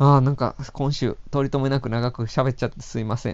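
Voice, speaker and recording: A man speaks in a plain, everyday voice at a medium pitch, his intonation fairly even. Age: 30s. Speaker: film writer. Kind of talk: solo podcast monologue.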